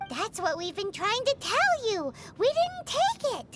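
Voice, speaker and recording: A squeaky, put-on character voice at an extremely high pitch goes at a fairly slow pace over loud background noise. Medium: video game. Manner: loud, excitable.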